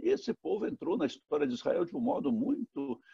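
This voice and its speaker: Dry and close with no echo, a man's high voice has a dark, mellow tone and very wide pitch swings. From Brazil, Minas Gerais (Guanhães). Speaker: pastor. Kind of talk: sermon. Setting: recorded online worship service. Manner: repetitive, self-correcting.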